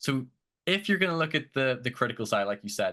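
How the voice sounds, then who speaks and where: A man with a bright, sharp tone and lively intonation, against a quiet background. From outside the United States. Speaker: podcast host, guest. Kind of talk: interview podcast.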